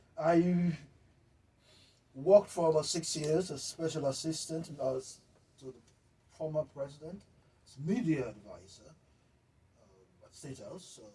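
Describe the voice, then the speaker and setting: A man's somewhat breathy, dark and mellow voice at a fairly high pitch, with lively intonation, big swings in loudness, a fairly slow pace, and long, frequent pauses. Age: 60s. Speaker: journalist. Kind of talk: interview. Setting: studio.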